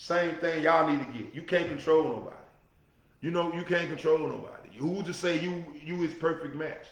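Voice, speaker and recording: A loud man's voice, high in pitch and fairly quick, with audible room echo and noticeable background noise. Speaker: podcast host. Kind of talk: solo talk show monologue. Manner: animated.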